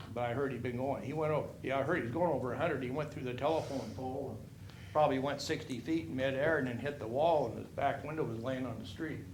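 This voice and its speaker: Talking at a very fast pace with an American accent, a man is heard with audible room echo. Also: medium pitch for a man, ordinary pitch variation. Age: 60s. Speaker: resident speaking at public comment. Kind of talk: public comment at city council. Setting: city council meeting. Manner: casual, rambling and conversational.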